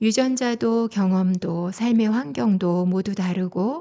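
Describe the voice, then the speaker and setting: A soft-spoken woman at medium pitch, calm in tone, dark and mellow, with ordinary pitch variation and a very slow pace. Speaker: essay narrator and wine lecturer; parent. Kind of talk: calm bedtime essay reading. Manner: soft-spoken, calm.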